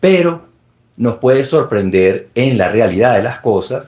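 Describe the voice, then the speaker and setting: A man with a Venezuelan accent speaks at a fairly slow pace. His voice is somewhat breathy. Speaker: security expert and book presenter. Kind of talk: formal speech at book launch. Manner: formal.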